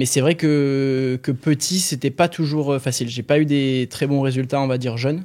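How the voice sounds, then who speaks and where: Over a silent background in a very clean recording, a man with a fairly high pitch and a dark, mellow tone talks at a moderate pace with fairly even intonation and hardly any pauses. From southern France, Aix-en-Provence. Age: 20s. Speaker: professional swimmer. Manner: hesitant, many fillers.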